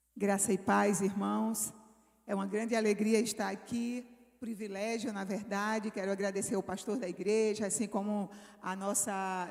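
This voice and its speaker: Speaking fairly slowly, a woman uses a fairly high pitch in a northeastern Brazilian accent. Her intonation stays monotone and flat. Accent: Northeastern Brazilian, kept. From Brazilian Northeast. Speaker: missionary preacher. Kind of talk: sermon.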